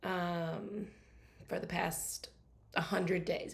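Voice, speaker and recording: A somewhat breathy woman's voice in monotone, flat intonation, with audible room echo. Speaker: craft and organizing workshop teacher. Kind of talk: livestream workshop. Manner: casual, filler-heavy.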